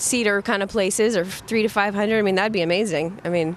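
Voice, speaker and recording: A woman with a slight Southern accent speaks at medium pitch. Her pace is moderate and her intonation fairly even. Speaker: folk rock singer. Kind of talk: interview. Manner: casual, hesitant.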